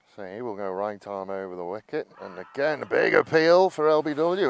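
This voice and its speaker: A man speaks with an English accent at a moderate pace. His pitch swings very widely, and the sound is dry and close with no echo. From England. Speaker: cricket commentator. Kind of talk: live commentary.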